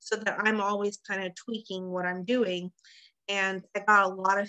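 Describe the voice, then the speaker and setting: A woman's medium-pitched voice has a bright, sharp tone, moving at a moderate pace in a dry, close sound with no echo. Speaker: direct sales consultant and team leader. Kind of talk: tutorial.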